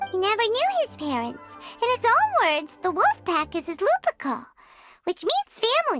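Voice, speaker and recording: A put-on character voice, squeaky and extremely high-pitched, at a moderate pace with music in the background. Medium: video game. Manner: casual, lively.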